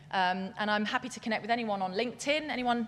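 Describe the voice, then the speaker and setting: Someone talks at a fairly quick pace with a British accent. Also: woman. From England. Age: 40s. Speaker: scientific futurist, keynote speaker. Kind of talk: keynote speech. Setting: stage with audience. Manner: fast; animated.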